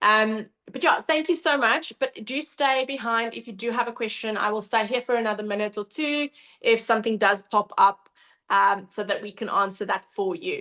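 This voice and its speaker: A woman's bright, sharp voice with ordinary pitch variation. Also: fairly high pitch for a woman, moderate pace. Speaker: cupping therapy trainer. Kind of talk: webinar presentation. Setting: online webinar.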